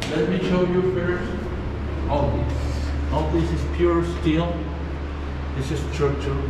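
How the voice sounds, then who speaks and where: A man speaks at a very slow pace with long, frequent pauses, amid audible room echo and loud background noise. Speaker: Airbnb host. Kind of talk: guided tour. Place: tunnel cave. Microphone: phone near.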